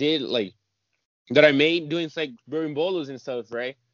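A man speaks in an unremarkable speaking voice at a moderate pace, his fairly high pitch varying in an ordinary way. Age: 20s. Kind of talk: interview.

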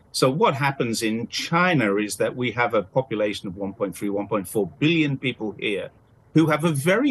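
A man with a British accent speaks at medium pitch and a moderate pace. His intonation is lively. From UK. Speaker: commentator and freelance journalist. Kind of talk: interview.

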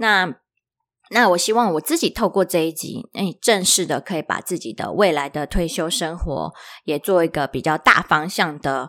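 In an ordinary speaking voice, a woman talks at a moderate pace with a fairly low pitch. Her intonation is lively, and the recording is very clean with a silent background. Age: 30s. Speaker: podcast host. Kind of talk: solo podcast talk.

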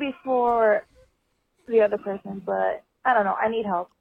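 The speech moves at a moderate pace. It comes in a normal speaking voice. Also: woman. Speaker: caller seeking advice. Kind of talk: voicemail message. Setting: phone voicemail with dog barking.

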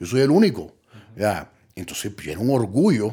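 A man speaks in a dark, mellow tone with very wide pitch swings, recorded very cleanly against a silent background. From Colombia. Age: 30s. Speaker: recovering addict. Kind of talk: testimony. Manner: halting.

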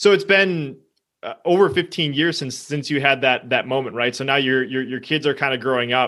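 Fairly quick, fairly high-pitched male speech with ordinary variation in pitch. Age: 20s. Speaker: podcast host. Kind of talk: interview. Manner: animated.

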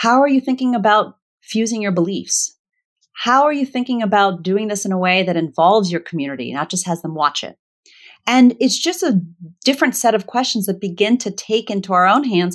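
A woman with an American accent has a plain, everyday voice at medium pitch. She speaks at a fairly quick pace with lively intonation on a very clean recording with a silent background. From Virginia, US. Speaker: conflict resolution facilitator and author. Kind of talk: casual interview conversation.

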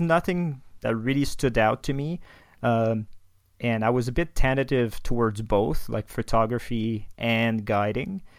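A man with a French Canadian accent, medium in pitch, at a fairly slow pace with ordinary pitch variation, in a very clean recording against a silent background. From Quebec, Canada (Quebec City). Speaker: astrophotographer. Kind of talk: casual interview.

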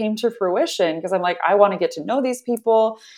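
A woman with an American accent and a plain, everyday voice speaks at a medium pitch and a fairly quick pace with ordinary pitch variation. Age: 30s. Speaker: nonprofit founder. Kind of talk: interview conversation.

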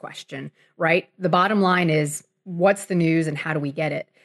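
Here is a woman with an ordinary speaking voice, talking at a fairly quick pace with ordinary pitch variation. The sound is dry and close with no echo, over a quiet background. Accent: American. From South Florida (Miami). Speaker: sports writer. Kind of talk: interview conversation. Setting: remote call.

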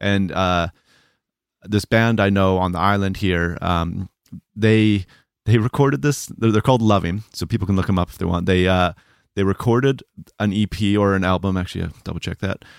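This man has an ordinary speaking voice, fairly low in pitch with ordinary pitch variation, at a moderate pace. The recording is very clean and dry, with a close sound, no echo, and a silent background. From Canada. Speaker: mastering engineer and co-host. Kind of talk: casual podcast conversation.

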